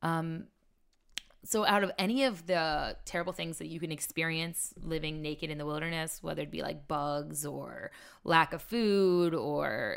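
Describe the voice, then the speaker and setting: A woman speaks in an ordinary speaking voice, her pitch fairly low. Her pace is fairly slow, with ordinary pitch variation. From Maryland, Carroll County. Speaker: reality TV survivalist. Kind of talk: casual interview.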